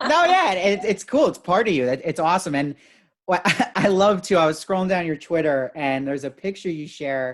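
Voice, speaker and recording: A man talks in a high pitch at a fairly quick pace, sounding enthusiastic. His pitch varies in an ordinary way, and the recording is very clean with a silent background. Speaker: celebrity interviewer. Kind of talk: casual interview chat.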